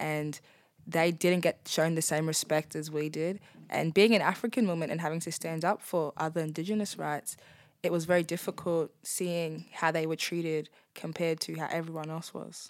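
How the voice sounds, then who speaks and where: In an Australian accent, a woman speaks at a moderate pace and a fairly low pitch, her intonation flat and monotone. The recording is very clean, with a silent background. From Darwin, Australia. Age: young. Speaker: former prisoner. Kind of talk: interview testimony.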